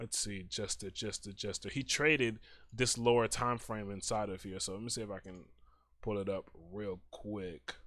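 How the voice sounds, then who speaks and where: Moderately paced speech from a man, fairly low in pitch with fairly even intonation. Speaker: trading educator. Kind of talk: tutorial. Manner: soft-spoken; hesitant with fillers.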